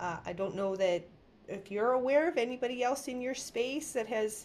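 At a moderate pace with ordinary pitch variation, this is an ordinary speaking voice. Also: woman. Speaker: podcast host. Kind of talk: interview.

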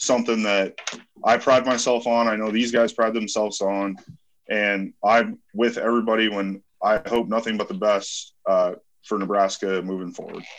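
This man speaks at a moderate pace and a medium pitch, with fairly even intonation. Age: 30s. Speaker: professional football player. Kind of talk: interview. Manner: halting.

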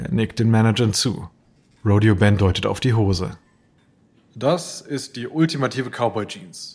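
A man talks at a medium pitch with ordinary variation and a somewhat breathy sound. His pace is fairly slow, with long, frequent pauses and big swings in loudness. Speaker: narrator. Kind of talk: dramatic narration, scripted storytelling with voiced dialogue. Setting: studio. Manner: vivid, suspenseful, steady storyteller pacing.

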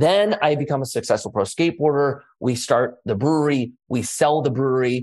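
A man talks at a moderate pace with hardly any pauses, in an ordinary speaking voice. His pitch is fairly high with ordinary variation, and the background is quiet. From US, raised in same area he lives. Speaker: former pro skater, entrepreneur and city council member. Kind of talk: interview.

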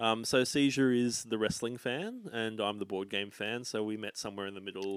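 An Australian man speaks with fairly even intonation and hardly any pauses. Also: medium pitch for a man, moderate pace. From Australia, Sydney (north of Hornsby). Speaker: comedian and travel agent. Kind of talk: casual chat.

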